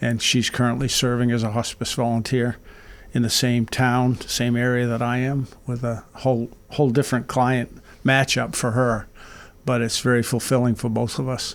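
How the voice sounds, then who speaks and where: Here a man talks at a moderate pace and a medium pitch. His intonation is monotone and flat. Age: 70s. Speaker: hospice volunteer. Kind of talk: radio interview. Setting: radio studio.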